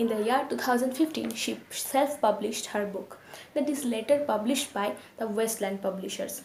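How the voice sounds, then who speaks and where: Noticeable background noise behind a woman's fairly high voice, delivered at a moderate pace. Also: ordinary pitch variation. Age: 20s. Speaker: book reviewer. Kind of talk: casual book review to camera.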